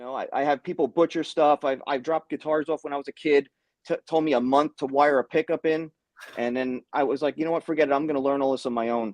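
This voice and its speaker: Very fast speech from a man with a New York accent, fairly high pitch and fairly even intonation, in a dry, close sound with no echo. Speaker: guitar tech and hobbyist. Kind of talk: casual chat.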